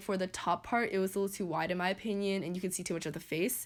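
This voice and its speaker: This woman's medium pitch comes at a very fast pace. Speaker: small business founder and YouTuber. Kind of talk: casual vlog explanation. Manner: casual, filler-heavy.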